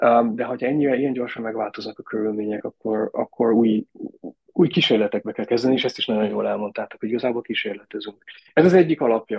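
The man's delivery is very fast. His voice sits at a medium pitch and varies in an ordinary way. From Austria (raised abroad, schooled in Austria). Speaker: tourism innovation director. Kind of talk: interview. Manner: halting, many fillers.

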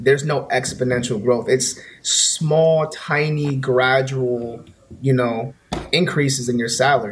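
A man with a New York accent speaks at medium pitch and a moderate pace, fairly even in intonation, over noticeable background noise. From US, Bronx, New York. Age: 20s. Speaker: music producer and YouTuber. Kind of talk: casual chat.

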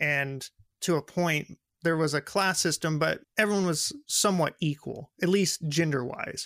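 An American accent comes through at a fairly slow pace. The recording is very clean, with a silent background. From West Texas, small town. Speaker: student podcast host. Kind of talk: casual interview.

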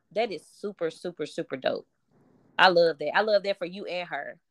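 At a fairly quick pace, a woman speaks in an animated tone, the sound dry and close with no echo. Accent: American. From US small town. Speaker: podcast host. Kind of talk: casual chat. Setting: video call.

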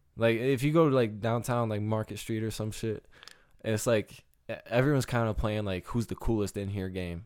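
Speaking at a moderate pace, a man uses a plain, everyday voice of medium pitch with fairly even intonation. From Michigan. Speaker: podcast co-host. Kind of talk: casual chat.

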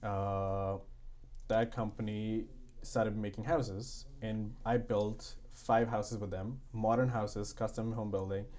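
In an Indian accent, a man talks at a fairly slow pace with a fairly low pitch and monotone, flat intonation. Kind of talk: casual interview chat.

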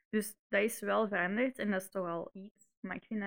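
A woman with a Flemish accent at a moderate pace, her voice showing vocal fry and fairly even intonation, in a dry, close sound with no echo. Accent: Flemish Dutch. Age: 20s. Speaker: podcast co-host. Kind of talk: casual chat.

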